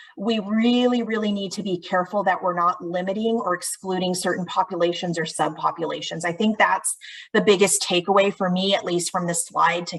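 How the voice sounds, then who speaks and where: A woman uses an ordinary speaking voice at a medium pitch. She talks at a fairly quick pace with fairly even intonation. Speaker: state housing agency presenter. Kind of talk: webinar presentation.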